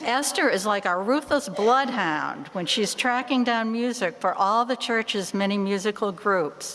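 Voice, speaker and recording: A woman with a Boston accent speaks at a fairly slow pace, her pitch fairly high and her intonation lively. Background noise is noticeable. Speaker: church member, bell choir ringer. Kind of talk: stewardship talk in church.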